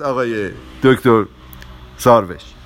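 A man is speaking. He goes at a very slow pace. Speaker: podcast host on relationships. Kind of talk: casual talk.

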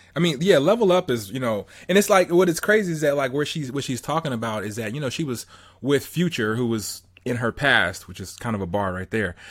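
Very clean recording with a silent background, a man at medium pitch in an American accent, fairly quick pace and very wide pitch swings. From Southern California. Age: 30s. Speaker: motivational podcast host. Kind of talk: casual interview chat.

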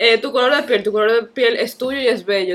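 A woman speaks at a fairly quick pace in an unremarkable speaking voice. Her pitch is fairly high, with ordinary variation. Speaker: podcast guest. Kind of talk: casual chat.

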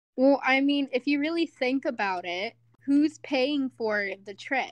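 Her voice high and her intonation lively, a woman speaks at a fairly slow pace in a dry, close sound with no echo and a quiet background. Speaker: nanny, podcast guest. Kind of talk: casual chat podcast.

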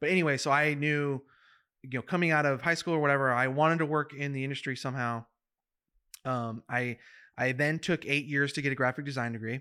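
In a very clean recording with a silent background, a man with an American accent speaks very fast at a fairly high pitch, his tone bright and sharp and his intonation fairly even. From California, Central Valley (Madera). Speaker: off-road media videographer. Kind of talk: casual chat.

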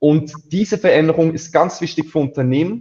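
A man with a fairly high pitch speaks at a moderate pace. His tone is dark and mellow and somewhat breathy. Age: 20s. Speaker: agency founder. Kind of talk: interview. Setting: live stream.

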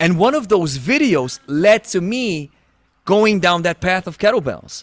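Over music in the background, a man with a non-native accent speaks at a high pitch and a fairly slow pace, his intonation lively. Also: dry, close sound with no echo. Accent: noticeable foreign. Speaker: fitness podcast host. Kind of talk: casual conversation. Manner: halting, with restarts.

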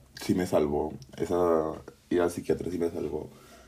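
In a dark, mellow tone, the man talks at a fairly slow pace. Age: 20s. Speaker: podcaster. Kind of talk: casual personal monologue. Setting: home bedroom. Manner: halting, many fillers.

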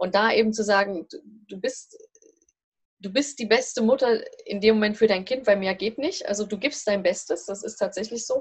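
A woman at a fairly high pitch, somewhat breathy, with ordinary pitch variation and a moderate pace. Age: 40s. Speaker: family and career coach. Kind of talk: interview. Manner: hesitant, many filler sounds.

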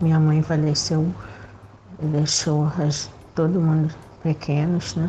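A woman's very deep, low pitch and fairly even intonation at a very slow pace, with long, frequent pauses over noticeable background noise. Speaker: listener sending voice message. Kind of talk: testimony. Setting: recorded voice message.

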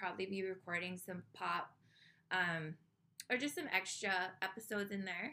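A woman with a Hawaiian accent has a bright, sharp tone and ordinary pitch variation. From Hawaii, Oahu. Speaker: podcast host. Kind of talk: casual monologue.

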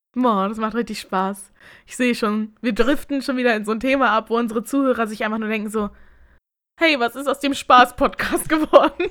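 On a very clean recording with a silent background, a woman talks at a fairly quick pace in a fairly high pitch. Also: ordinary pitch variation. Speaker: podcast co-host. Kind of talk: casual chat.

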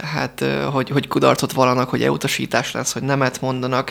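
This is a man's voice. It sits at a medium pitch. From Hungary. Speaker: entrepreneur. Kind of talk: radio interview. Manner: halting.

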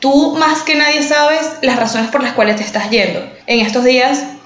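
A woman at a fairly quick pace with ordinary pitch variation, amid audible room echo and noticeable background noise. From Venezuela, San Antonio (small town). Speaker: podcast co-host. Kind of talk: casual chat.

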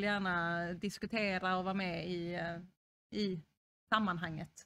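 In a normal speaking voice, a woman keeps a moderate pace, her medium pitch carried with fairly even intonation. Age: 30s. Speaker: social services unit manager. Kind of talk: interview.

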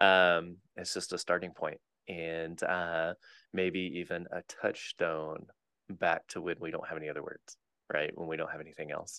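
Speaking at a moderate pace, a man has a very deep, low pitch and a bright, sharp tone. His intonation is monotone and flat. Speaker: podcast co-host and preacher. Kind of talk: casual chat. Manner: slight lisp when preaching.

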